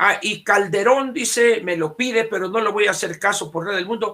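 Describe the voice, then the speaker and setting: A man projects a raised voice at a high pitch with a bright, sharp tone. His pitch variation is ordinary. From Sonora, Mexico. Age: 70s. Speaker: political commentator. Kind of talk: casual chat.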